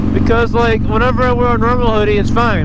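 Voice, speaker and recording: Fairly quick speech in an American accent over noticeable background noise. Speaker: motorcycle vlogger. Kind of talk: casual monologue while riding. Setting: outdoors on a motorcycle. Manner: stuttering.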